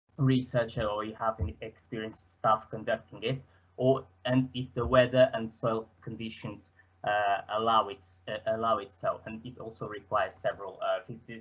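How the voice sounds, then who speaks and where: Speaking with a Portuguese accent, a man keeps his intonation fairly even. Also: moderate pace. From Portugal. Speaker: student presenter; presenter. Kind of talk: presentation. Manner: hesitant, many fillers. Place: home room.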